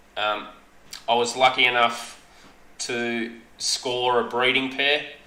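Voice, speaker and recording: A man with an Australian accent, medium pitch and audible room echo. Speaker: aquarium hobbyist streamer. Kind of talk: live stream chat. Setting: live stream. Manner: halting, stuttering. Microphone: echo in headset.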